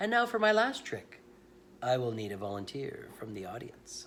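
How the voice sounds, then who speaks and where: A man puts on a booming character voice at a medium pitch and a moderate pace. His loudness swings widely. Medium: read story. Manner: theatrical, commanding.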